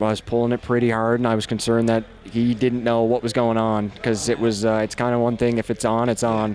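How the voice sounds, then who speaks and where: Keeping his loudness very even, a man talks at a medium pitch in a monotone, flat intonation. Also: fairly quick pace, hardly any pauses. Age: 20s. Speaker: MMA fighter. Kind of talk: post-fight interview.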